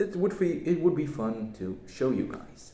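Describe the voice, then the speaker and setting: Very wide pitch swings in a non-native accent at a moderate pace, with audible room echo. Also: man. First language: not English. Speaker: YouTuber. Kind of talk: casual channel update vlog. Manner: hesitant, many fillers.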